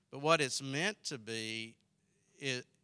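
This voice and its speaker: Bright, sharp tone in a Southern US accent, fairly slow and with fairly even intonation. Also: man. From South Carolina. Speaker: pastor and theological college president. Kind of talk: sermon. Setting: early morning Bible study with audience.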